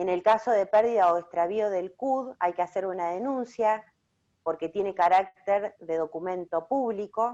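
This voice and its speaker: A woman's dark, mellow voice at medium pitch, with ordinary pitch variation and a fairly slow pace. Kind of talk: online talk presentation.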